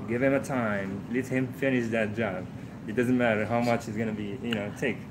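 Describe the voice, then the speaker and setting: Flat, monotone intonation comes through at a moderate pace with audible room echo. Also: man, medium pitch for a man. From Morocco. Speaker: truck driving instructor. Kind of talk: casual interview. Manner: halting.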